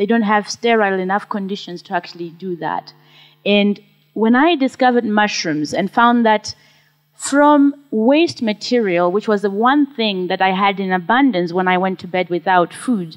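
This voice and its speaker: A woman with a Zimbabwean accent speaks at a moderate pace in a medium pitch with ordinary pitch variation. The sound is dry and close, with no echo. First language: Shona. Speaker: social entrepreneur, mushroom farmer. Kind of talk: conference talk.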